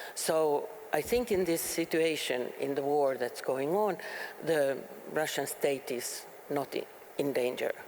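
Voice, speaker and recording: Noticeable background noise sits behind the speech. The delivery is fairly slow with lively intonation. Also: woman, very deep, low pitch for a woman. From Finland. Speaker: politician and peace researcher. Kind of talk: panel discussion. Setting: stage with audience. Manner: halting.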